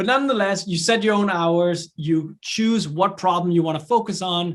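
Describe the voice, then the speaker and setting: With a Danish accent, a man speaks at a high pitch with ordinary pitch variation. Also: moderate pace. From Denmark. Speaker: entrepreneur and professor. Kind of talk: online lecture. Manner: casual, with many fillers.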